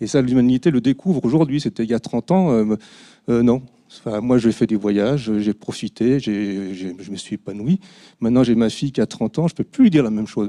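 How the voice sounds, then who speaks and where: In a dark, mellow tone, a man talks at a fairly quick pace, the sound dry and close with no echo against a quiet background. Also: medium pitch for a man, ordinary pitch variation. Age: 60s. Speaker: audience member asking a question. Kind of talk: audience question at public talk. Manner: halting.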